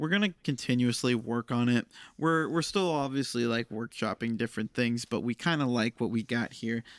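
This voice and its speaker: A man talks at a moderate pace, his pitch medium with ordinary variation. The sound is dry and close, with no echo. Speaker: podcast host. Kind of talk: casual chat. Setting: studio. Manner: loud.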